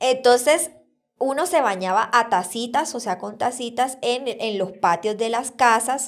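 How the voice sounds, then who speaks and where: The speech moves at a fairly slow pace with ordinary pitch variation. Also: woman, high pitch for a woman. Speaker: podcast host. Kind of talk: casual chat. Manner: talkative.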